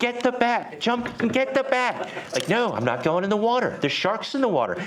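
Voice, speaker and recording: An animated voice moves at a moderate pace through audible room echo. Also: man. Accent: American. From United States. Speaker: startup program director. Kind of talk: conference talk. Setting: meetup with live audience. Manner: animated storytelling.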